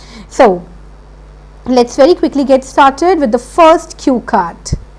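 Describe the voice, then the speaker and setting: A high-pitched woman with a Punjabi accent and lively intonation, over noticeable background noise. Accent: Indian English, Punjabi. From India, Punjab (Chandigarh). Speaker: IELTS teacher. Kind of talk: online lecture.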